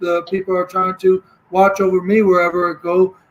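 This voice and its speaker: A man's high-pitched voice at a moderate pace, in a flat monotone. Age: 30s. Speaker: caller on a live stream panel. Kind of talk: casual chat. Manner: halting.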